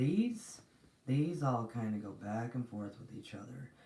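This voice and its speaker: Soft-spoken and fairly slow, a woman talks with a dark, mellow tone and a very deep, low pitch. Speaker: spiritual reader / channel host. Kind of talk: live-stream spiritual teaching. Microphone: too quiet.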